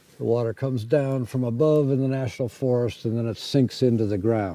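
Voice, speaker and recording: Speaking fairly quickly with an American accent, a man uses a medium pitch and ordinary pitch variation. Noticeable background noise can be heard. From US Midwest, Detroit. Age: 80s+. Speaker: off-grid homesteader. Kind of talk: interview.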